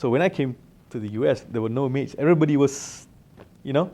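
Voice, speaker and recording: The speaker talks at a fairly quick pace with a Malaysian accent, a dark, mellow tone and ordinary pitch variation. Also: man. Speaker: alumnus, company director. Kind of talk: interview storytelling. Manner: casual, with many fillers.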